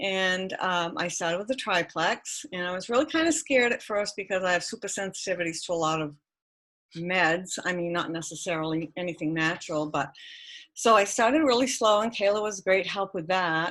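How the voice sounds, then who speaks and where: An unremarkable speaking voice moves along fairly quickly, its pitch varying in an ordinary way. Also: woman, medium pitch for a woman. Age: 60s. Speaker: retired hairdresser. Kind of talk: testimony.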